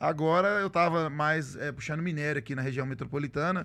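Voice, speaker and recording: A man's fairly high voice, a normal speaking voice at a moderate pace with ordinary pitch variation. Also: very clean recording, silent background. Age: middle-aged. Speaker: truck driver and social media content creator. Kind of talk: casual interview chat.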